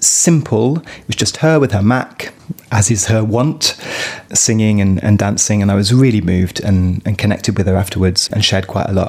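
Noticeable noise sits behind speech delivered at a moderate rate. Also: man. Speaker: podcast host. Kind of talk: interview chat about music.

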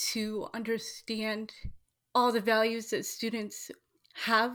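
Captured on a very clean recording with a silent background, a woman with a General American accent speaks very slowly at a fairly high pitch. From Washington State. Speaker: school board candidate. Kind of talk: interview.

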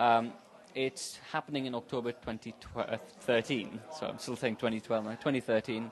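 A man with a medium-pitched voice talks very slowly. His intonation stays fairly even. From India. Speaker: startup consultant and meetup organiser. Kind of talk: casual interview. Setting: café.

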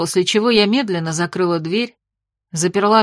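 The voice is reading aloud in a natural voice with ordinary pitch variation. The background is quiet.

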